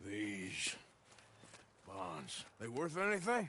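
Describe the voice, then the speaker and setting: A raspy, put-on character voice from a man, medium in pitch with very wide pitch swings. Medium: video game.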